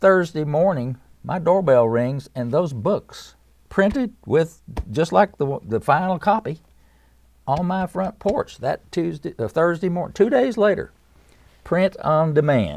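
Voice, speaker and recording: Against a quiet background, a man with an Appalachian accent talks fairly slowly in a fairly high voice with lively intonation. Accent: Southern US (Appalachian). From East Tennessee, US. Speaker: musician and author. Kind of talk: interview. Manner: halting.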